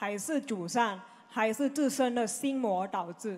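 A woman's high voice at a very slow pace, with ordinary pitch variation. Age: 20s. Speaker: follower asking questions; audience member. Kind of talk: Q&A with spiritual teacher. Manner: halting. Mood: respectful, earnest. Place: hall. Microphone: handheld.

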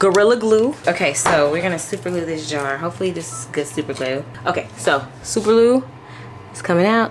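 A woman speaks in a fairly low voice. Noticeable background noise can be heard. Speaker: vlogger. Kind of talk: casual vlog chat. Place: kitchen. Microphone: phone near.

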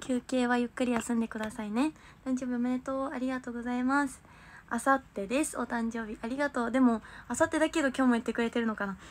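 A woman speaks at a high pitch and a very fast pace. Light background noise is present. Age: 20s. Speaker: idol livestreamer. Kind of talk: livestream chat with viewers. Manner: animated. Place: home room. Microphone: phone near.

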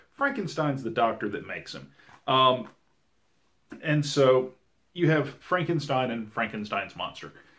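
A man with a Southern US accent speaks at a fairly slow pace in a bright, sharp tone. His pitch varies in an ordinary way, and his loudness swings widely. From US South. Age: 30s. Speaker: podcast host. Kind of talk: casual podcast chat. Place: home room.

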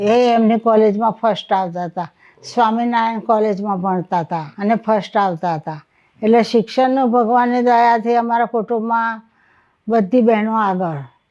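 A woman speaks at a fairly high pitch in a dark, mellow tone with ordinary pitch variation. The background is quiet. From Ahmedabad, Gujarat, India. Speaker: retired scholar with a PhD in Gujarati literature. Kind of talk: interview, personal life story. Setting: at home.

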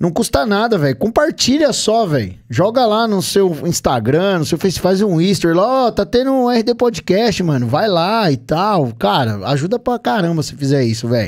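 His high voice swings very widely in pitch as this man talks at a moderate pace with hardly any pauses. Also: quiet background. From Brazil. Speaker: podcast host. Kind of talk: casual chat. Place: studio. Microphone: studio mic.

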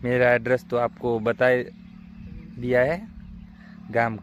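A man with a plain, everyday voice speaks at a medium pitch. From Gujarat, Panchmahal district. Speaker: farmer and small vlogger. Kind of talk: casual vlog. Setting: outdoors in a maize field.

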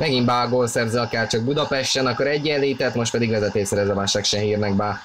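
The delivery is very fast, with hardly any pauses and very even loudness. There is noticeable background noise. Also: man, medium pitch for a man. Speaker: football commentator. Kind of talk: live commentary. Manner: animated.

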